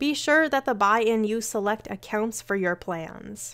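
In a plain, everyday voice, a woman with a fairly high pitch talks at a moderate pace on a very clean recording with a silent background. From Canada. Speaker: romance author and educator. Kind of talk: scripted educational talk.

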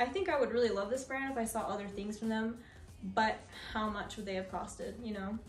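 A woman at a fairly quick pace with ordinary pitch variation, faint background music and audible room echo. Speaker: fashion vlogger. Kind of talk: casual try-on haul chat. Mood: upbeat, chatty. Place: home room. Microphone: camera far.

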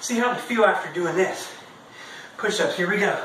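The man's voice is high in pitch and moves at a moderate pace. There is audible room echo and light background noise. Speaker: presenter. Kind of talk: workout instruction. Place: garage. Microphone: camera far.

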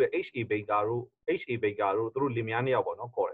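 In a Burmese accent, a man speaks at a moderate pace against a quiet background. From Myanmar. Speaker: pastor and interpreter; pastor. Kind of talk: sermon interpretation. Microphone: video call.

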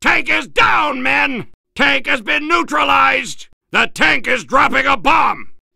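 A man's put-on character voice, raised to a shout at an extremely high pitch, with a bright, sharp tone, vocal fry, lively intonation and a slow pace

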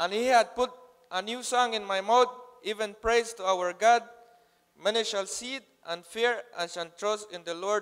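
A man with a high pitch speaks at a moderate pace with fairly even intonation and long, frequent pauses. The background is quiet. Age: 20s. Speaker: program graduate. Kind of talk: testimony read from notes. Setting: church stage with audience. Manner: halting. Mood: earnest, somewhat nervous, light humor. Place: church. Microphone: handheld.

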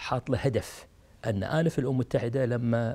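This man speaks with a Kuwaiti accent at a moderate pace. His tone is dark and mellow, and somewhat breathy. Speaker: retired diplomat; interviewee. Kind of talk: interview. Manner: halting. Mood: warm, admiring. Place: home room. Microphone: lapel.

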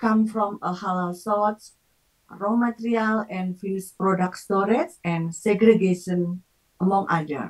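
A woman with an Indonesian accent talks at a very slow pace. Her pitch varies in an ordinary way, and the background is quiet. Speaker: session moderator, academic; lecturer or session host. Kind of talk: formal moderation. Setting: video call. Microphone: video call.

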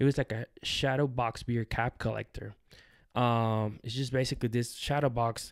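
Monotone, flat delivery from a man at medium pitch and moderate pace, over a quiet background. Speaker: podcast host. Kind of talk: casual interview. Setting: in person at company headquarters. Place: home room. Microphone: studio mic.

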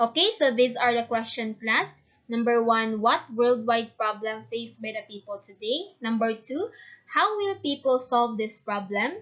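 In a Visayan Filipino accent, a woman speaks at a moderate pace and fairly high pitch with ordinary pitch variation against a quiet background. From Philippines, Mindanao. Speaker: student teacher. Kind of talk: online class lesson. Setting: online video class. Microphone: webcam.

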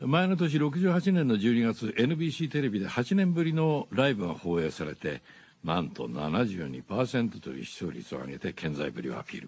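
This man talks very fast. Very wide swings run through his pitch. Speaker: voice actor. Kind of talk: radio DJ music show. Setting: studio. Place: studio. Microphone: studio mic.

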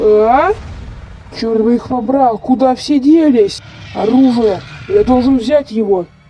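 Delivered at a fairly slow pace, the speech has long, frequent pauses and very even loudness. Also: woman, high pitch for a woman. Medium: machinima. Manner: panicked, desperate.

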